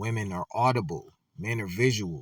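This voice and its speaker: On a very clean recording with a silent background, a man speaks. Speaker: relationship commentator. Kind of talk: casual monologue. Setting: on camera.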